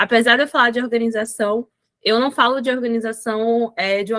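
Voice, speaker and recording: In a dry, close recording with no echo, a woman speaks at a moderate pace, her fairly high voice bright and sharp in tone, her intonation fairly even. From Salvador, Bahia, Brazil. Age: 20s. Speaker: educator and business organization consultant. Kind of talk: podcast interview.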